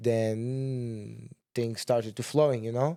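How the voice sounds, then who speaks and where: A man's medium-pitched, dark, mellow voice with a Portuguese accent. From Portugal, Sintra near Lisbon. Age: 20s. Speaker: kickboxer. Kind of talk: casual interview. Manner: halting, many restarts.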